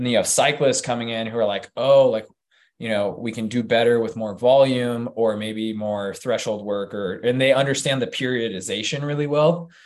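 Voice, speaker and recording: A man with an American accent and an ordinary speaking voice, medium pitch, ordinary pitch variation and a moderate pace. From Utah. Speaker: hybrid fitness athlete and coach. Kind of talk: casual chat.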